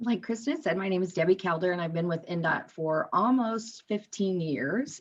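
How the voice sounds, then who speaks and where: A woman with an ordinary speaking voice at medium pitch, ordinary pitch variation, and moderate pace. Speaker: communications director. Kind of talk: presentation.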